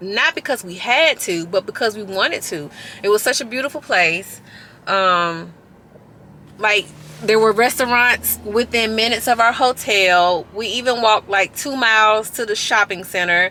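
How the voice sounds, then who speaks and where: Loud and bright with a sharp tone, a woman speaks at a moderate pace in a fairly high pitch with ordinary pitch variation. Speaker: fitness vlogger. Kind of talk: casual vlog talk.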